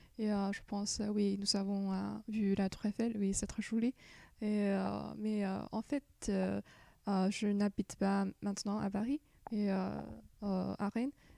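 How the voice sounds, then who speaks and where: With a Chinese accent, the speech moves at a fairly slow pace with long, frequent pauses and very even loudness, in a dry, close sound with no echo. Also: woman. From China. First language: Chinese (speaking French). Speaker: exchange student. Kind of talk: interview. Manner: halting, many hesitations.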